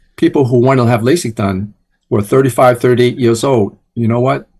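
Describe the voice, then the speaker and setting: Somewhat breathy, moderate in pace, a man's voice. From New York, Chinatown (born Hong Kong). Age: 70s. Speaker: eye doctor. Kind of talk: interview.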